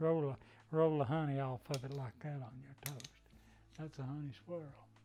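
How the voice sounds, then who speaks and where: In a Southern Appalachian accent, a man talks fairly quickly with a fairly high pitch, a dark, mellow tone and monotone, flat intonation. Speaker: wood turner. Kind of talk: craft demonstration.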